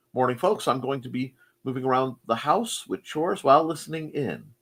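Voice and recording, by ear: A man talks at a medium pitch and a moderate pace. His tone is fairly bright.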